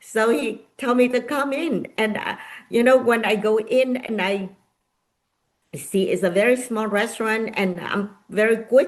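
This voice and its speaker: Fairly high in pitch, a woman speaks at a fairly slow pace with ordinary pitch variation. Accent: Vietnamese. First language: Vietnamese. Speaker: nonprofit founder and author. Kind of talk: interview. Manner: halting.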